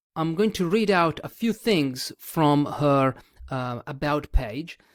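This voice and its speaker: Lively intonation at a fairly slow pace in a non-native accent, with a dry, close sound, no echo and a very clean recording on a silent background. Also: man. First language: not English. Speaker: podcast host. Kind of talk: podcast interview. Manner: hesitant, many fillers.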